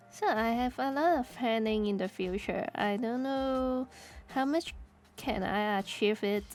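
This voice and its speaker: Music plays in the background as a woman talks fairly slowly, her pitch fairly high and her intonation lively. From Hong Kong. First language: Cantonese. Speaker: streamer. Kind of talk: casual chat. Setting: live stream. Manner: halting, repeats words.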